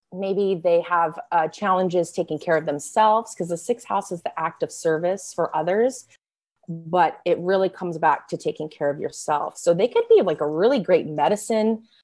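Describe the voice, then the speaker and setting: The pace here is moderate, and the pitch varies in an ordinary way. Overall, it is an ordinary speaking voice. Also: woman. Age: 30s. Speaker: astrologer. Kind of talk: interview.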